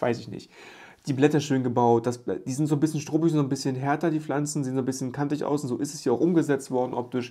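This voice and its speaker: Over a quiet background, a man talks very fast. His fairly high voice has a dark, mellow tone. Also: fairly even intonation. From Germany, rural village. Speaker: YouTube Lego reviewer; toy reviewer. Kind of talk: product review video. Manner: casual, chatty. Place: home room.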